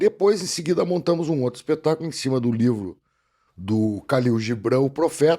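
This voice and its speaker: Speaking in a southern Brazilian accent, a man uses lively intonation at a medium pitch with a dark, mellow tone. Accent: gaúcho Brazilian Portuguese. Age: 60s. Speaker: actor and voice-over announcer. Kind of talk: casual podcast interview.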